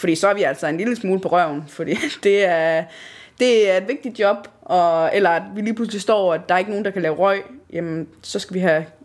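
Over a very clean recording with a silent background, a woman with a plain, everyday voice speaks at a medium pitch and moderate pace, with ordinary pitch variation. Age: 20s. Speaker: amateur theatre actor. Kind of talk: casual interview.

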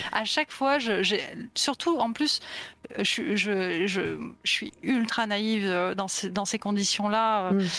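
A woman at a very slow pace and medium pitch, with ordinary pitch variation and very even loudness. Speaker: illustrator. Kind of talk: interview.

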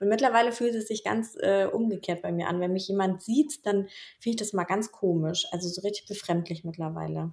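Here a woman speaks at a medium pitch. Her pace is moderate and her pitch variation ordinary. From Bavaria, Germany. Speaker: podcast co-host. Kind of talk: casual interview chat.

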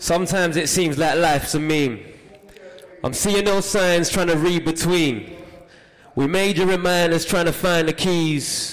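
A man's high-pitched voice at a fairly slow pace, with fairly even intonation and very even loudness, over noticeable background noise. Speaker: spoken word poet and author. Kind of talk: spoken word performance. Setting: stage with audience.

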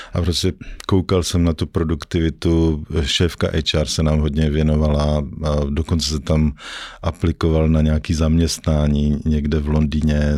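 At a fairly slow pace, a man talks in a very deep, low pitch with monotone, flat intonation and very even loudness. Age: 50s. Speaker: investor and former banker. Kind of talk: casual interview. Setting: studio.

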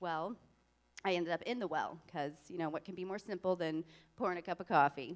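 At a very fast pace, a woman speaks with a fairly low pitch and fairly even intonation. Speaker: church member. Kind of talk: testimony. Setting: church.

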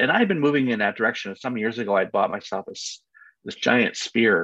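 A man with an American accent talking at a moderate pace. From United States. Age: 60s. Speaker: family constellation facilitator. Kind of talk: interview. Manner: hesitant, many fillers.

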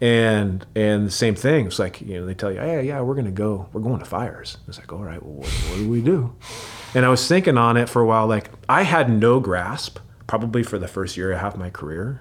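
Speaking at a fairly quick pace with a fairly low pitch, a man with an American accent uses lively intonation and big swings in loudness over noticeable background noise. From US Pacific Northwest, Seattle. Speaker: firefighter. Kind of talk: long-form interview. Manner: casual, many fillers.

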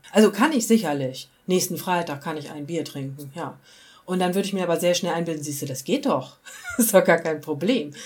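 A woman at a fairly quick pace, lively in intonation, with big swings in loudness and noticeable background noise. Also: fairly low pitch for a woman. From rural Germany. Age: 40s. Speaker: recovering alcoholic interviewee. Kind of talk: personal testimony interview.

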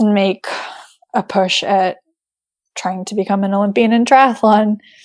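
In a plain, everyday voice, a woman speaks at a moderate pace and a medium pitch. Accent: American. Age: 30s. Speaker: triathlete. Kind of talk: casual chat.

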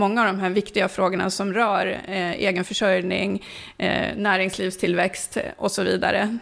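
Vocal fry threads through the speech. The pace is moderate. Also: woman. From northern Sweden, Sollefteå. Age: 50s. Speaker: local politician. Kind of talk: interview.

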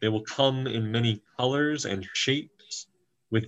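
Reading aloud in a natural voice, with ordinary pitch variation against a quiet background

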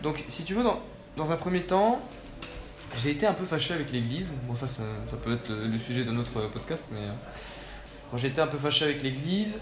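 A man's fairly high voice at a fairly quick pace, with lively intonation, long, frequent pauses, audible room echo and noticeable background noise. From southern France, Nîmes. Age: 20s. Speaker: young traveller. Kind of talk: personal testimony. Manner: halting, many repetitions and fillers.

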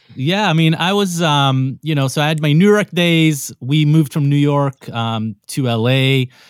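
This man has a plain, everyday voice at a fairly high pitch with ordinary pitch variation. He talks at a moderate pace with hardly any pauses. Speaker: DJ and music tastemaker. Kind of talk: casual interview chat.

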